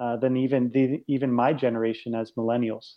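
Medium in pitch with fairly even intonation, this man has an ordinary speaking voice. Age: 20s. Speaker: ministry author and speaker. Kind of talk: casual interview conversation.

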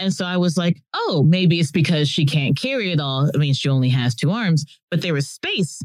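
In a normal speaking voice with an American accent, a woman talks at a moderate pace and a fairly low pitch, in a dry, close sound with no echo. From Texas. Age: 30s. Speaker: zookeeper. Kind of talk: casual chat.

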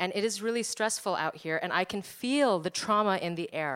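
In a New Jersey accent, a woman speaks at a medium pitch with lively intonation. The recording is very clean and the background silent. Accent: American, New Jersey. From New Jersey, US. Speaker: archaeologist and anthropology professor. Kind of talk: live storytelling on stage.

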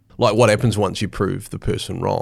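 Here a man with a New Zealand accent talks at a medium pitch. The recording is very clean, with a silent background. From New Zealand, Hawke's Bay. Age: 40s. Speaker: sports mental skills coach. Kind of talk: podcast interview. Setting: studio.

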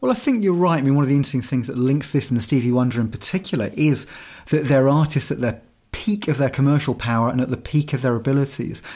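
Speaking at a very fast pace, a man with a fairly high pitch and a dark, mellow tone uses ordinary pitch variation on a very clean recording with a silent background. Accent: English. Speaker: musician and podcast co-host. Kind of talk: casual chat.

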